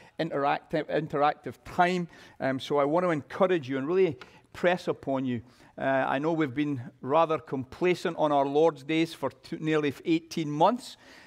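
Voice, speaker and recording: A man's pitch varies in an ordinary way against a quiet background. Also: moderate pace. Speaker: pastor. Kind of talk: church announcements. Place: church.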